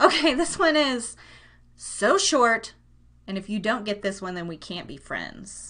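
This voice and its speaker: Projecting a raised voice with a bright, sharp tone, a woman speaks at a fairly slow pace with very wide pitch swings. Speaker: live radio/podcast host. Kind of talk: casual live show chat. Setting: home recording room. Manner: loud; animated.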